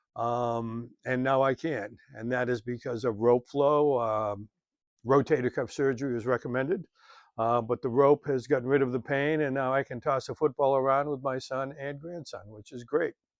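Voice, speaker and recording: With an unremarkable speaking voice, a man talks at a moderate pace with a medium pitch and fairly even intonation. The background is quiet, and the sound is dry and close with no echo. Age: 60s. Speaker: fitness instructor. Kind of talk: tutorial. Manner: casual, with frequent fillers.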